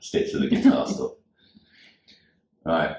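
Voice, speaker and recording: The speaker is a man. He talks with a Manchester accent. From South Manchester, England. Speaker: cover band musician. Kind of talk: casual chat.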